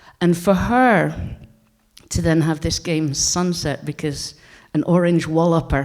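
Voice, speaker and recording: A woman with a northeastern Scottish accent, very deep and low in pitch with ordinary pitch variation, on a very clean recording with a silent background. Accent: Scottish, north-east (Doric). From Scotland, Aberdeenshire. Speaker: game designer and heritage researcher. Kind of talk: conference talk.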